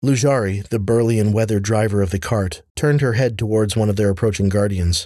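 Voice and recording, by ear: A natural voice reading aloud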